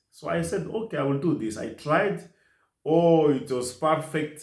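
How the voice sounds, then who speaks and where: Audible room echo surrounds a man who talks at a moderate pace with a fairly high pitch and lively intonation. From DR Congo, South Kivu. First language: French and Kiswahili. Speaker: nurse assistant. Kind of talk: interview. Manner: halting.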